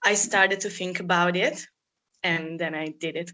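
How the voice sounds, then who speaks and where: A woman speaks with a bright, sharp tone. Her intonation stays fairly even. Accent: Italian. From Italy. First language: Italian. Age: 20s. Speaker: former au pair. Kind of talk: interview.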